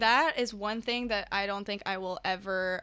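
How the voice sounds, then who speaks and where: A woman speaks at medium pitch with ordinary pitch variation. Her tone is bright and sharp. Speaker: podcast host, university student. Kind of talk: casual chat. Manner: casual, frequent fillers.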